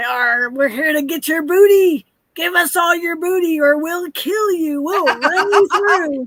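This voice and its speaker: Using a put-on character voice, a woman pitches her speech extremely high. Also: fairly slow pace. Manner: growling, threatening.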